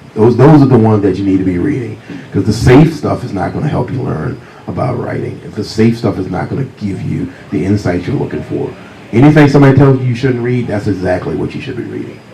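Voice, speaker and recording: A man with an American accent talking very fast with lively intonation, amid noticeable background noise and audible room echo. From US South, Virginia. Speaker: crime novelist. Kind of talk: author talk with storytelling. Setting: stage with audience.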